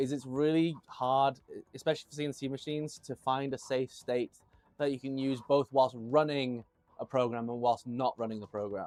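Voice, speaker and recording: The speaker is a man with a British accent. His pitch is medium and his intonation fairly even. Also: moderate pace, dry, close sound with no echo. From Tanzania (Dar es Salaam), British parents. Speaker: machine builder and live streamer. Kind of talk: casual live stream chat. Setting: live stream, workshop. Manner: conversational, with fillers.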